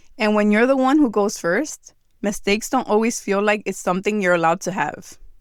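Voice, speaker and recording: A woman with a New Jersey accent at medium pitch and fairly quick pace, ordinary pitch variation, on a very clean recording with a silent background. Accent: American English, New Jersey. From New Jersey, US, Dominican American family. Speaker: podcast host. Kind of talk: reflective monologue.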